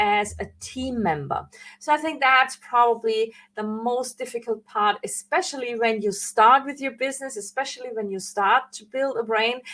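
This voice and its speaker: High-pitched woman with a non-native accent and a bright, sharp tone, moderate pace, ordinary pitch variation and big swings in loudness. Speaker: branding coach. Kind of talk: live online training. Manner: hesitant, with fillers and self-corrections.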